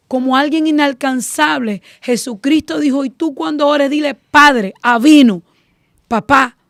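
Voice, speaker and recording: Fairly slow speech with a dry, close sound and no echo. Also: woman. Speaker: preacher. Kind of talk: sermon.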